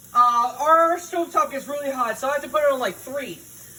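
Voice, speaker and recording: Animated, raised and projected voice at a fairly quick pace, with lively intonation over noticeable background noise. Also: man. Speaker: cooking video host. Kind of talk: casual cooking tutorial.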